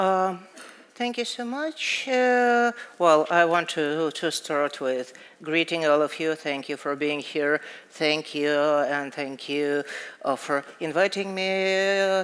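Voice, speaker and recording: Speaking at a very slow pace, a woman with a fairly low voice talks in a Russian accent. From Russia, Moscow. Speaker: poet and author. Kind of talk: interview on stage. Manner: halting.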